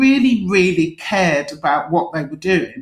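This speaker has a London accent and lively intonation. The voice is somewhat breathy. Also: woman. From London (East London, Forest Gate). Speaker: magazine editor and drinks writer. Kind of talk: interview.

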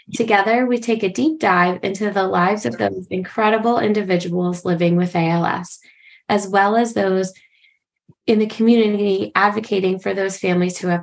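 A woman speaks at a moderate pace in a normal speaking voice, medium-pitched with ordinary pitch variation. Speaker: podcast co-host, social worker. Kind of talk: casual interview chat.

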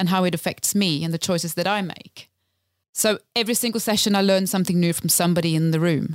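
With a Swedish accent, a woman talks very fast in a medium-pitched voice with ordinary pitch variation, on a very clean recording with a silent background. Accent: Swedish-tinged English. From Sweden, Lapland. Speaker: community theatre director. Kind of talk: casual chat.

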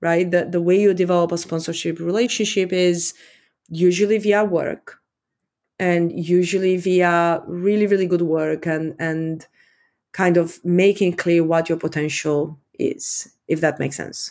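A woman speaks in an Eastern European accent at a fairly slow pace. Her fairly low voice stays in a flat monotone. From Romania. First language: Romanian. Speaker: tech executive. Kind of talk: interview.

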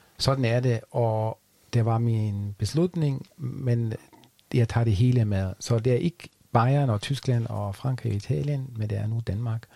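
The man talks at a very slow pace, somewhat breathy, with a dark, mellow tone. His pitch is medium, with ordinary variation. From Germany. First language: German (speaking Danish). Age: 40s. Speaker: podcast guest, expat. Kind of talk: casual interview. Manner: halting.

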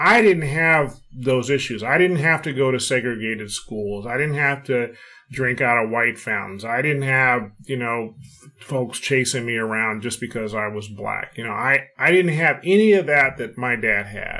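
This voice has an American accent and ordinary pitch variation. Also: man, medium pitch for a man, moderate pace. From California. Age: 60s. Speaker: retired space agency executive and author. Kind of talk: interview. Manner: hesitant fillers.

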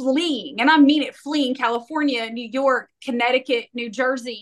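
A woman speaks at a moderate pace with high pitch. Her tone is animated and energetic. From Tennessee, Knoxville. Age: 40s. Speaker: real estate broker. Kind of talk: interview. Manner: animated, energetic.

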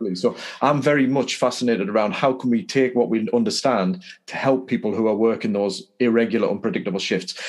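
A man with a medium-pitched voice and an English accent, at a very fast pace. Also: ordinary pitch variation. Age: 50s. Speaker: podcast host. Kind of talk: interview.

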